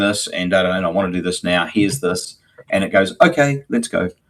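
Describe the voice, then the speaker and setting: A man with a New Zealand accent at a fairly quick pace, on a very clean recording with a silent background. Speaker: agency owner, live show co-host. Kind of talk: casual chat. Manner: halting, many fillers.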